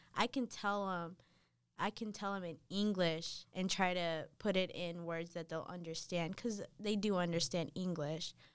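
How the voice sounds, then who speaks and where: In a plain, everyday voice, a woman with an American accent speaks at medium pitch and a moderate pace with fairly even intonation, recorded very cleanly against a silent background. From North Carolina, US (Dominican parents). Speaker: college student. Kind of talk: casual interview chat.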